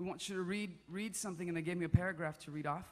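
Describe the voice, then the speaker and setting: The pitch shows ordinary variation. This man is talking at a very fast pace. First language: Spanish. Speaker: worship singer-songwriter. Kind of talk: stage talk introducing a song. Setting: church stage with audience. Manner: casual and conversational.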